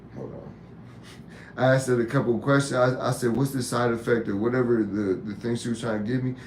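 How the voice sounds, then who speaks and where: Amid audible room echo, a man talks at a fairly quick pace in a monotone, flat intonation. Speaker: YouTube live host and tattoo artist. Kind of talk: casual live-stream talk. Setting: live stream.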